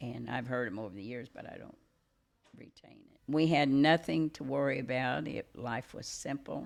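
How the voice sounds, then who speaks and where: A woman with a rural Missouri accent speaks at a moderate pace in a very deep, low pitch. Her pitch varies in an ordinary way while her loudness swings widely. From Missouri Lead Belt region. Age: 80s+. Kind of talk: interview answer. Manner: hesitant, many fillers.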